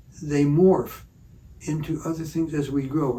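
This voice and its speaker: Somewhat breathy and dark, mellow in tone, a man with an American accent speaks at a fairly high pitch. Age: 80s+. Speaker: retired doctor. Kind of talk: reflective interview conversation. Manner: halting, with frequent repetitions.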